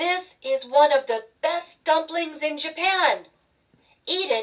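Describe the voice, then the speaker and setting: It's a put-on character voice, high in pitch and squeaky. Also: fairly slow pace. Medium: read story. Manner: proud.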